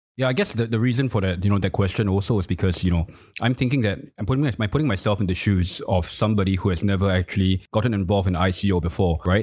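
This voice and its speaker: A somewhat breathy man with a fairly low pitch talks at a very fast pace with hardly any pauses, very even loudness and ordinary pitch variation, on a very clean recording with a silent background. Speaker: CEO and co-host. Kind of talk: casual chat about crypto news. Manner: casual, informal.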